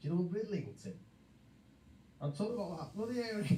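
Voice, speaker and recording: Audible room echo surrounds a man with a Liverpool accent and a dark, mellow tone. He talks at a fairly quick pace with ordinary pitch variation. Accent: Scouse. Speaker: live stream chat participant. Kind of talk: heated banter.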